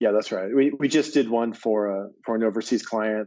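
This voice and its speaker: A plain, everyday voice: a man with an American accent, medium-pitched, fairly quick, with ordinary pitch variation. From US, Maine. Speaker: agency president. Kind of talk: interview.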